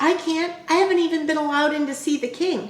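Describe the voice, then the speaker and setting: A woman puts on a squeaky character voice at an extremely high pitch, with ordinary pitch variation. She talks very fast, and audible echo follows her. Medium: read story.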